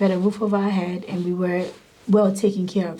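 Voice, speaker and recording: A woman speaks very fast in a flat monotone at a medium pitch, with audible room echo and noticeable background noise. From Ghana. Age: 30s. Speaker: social work director. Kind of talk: interview testimony.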